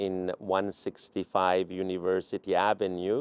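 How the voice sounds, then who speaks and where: This man speaks with a Persian accent. His pitch is fairly low. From Iran, Tehran. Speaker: venture capital investor. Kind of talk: interview.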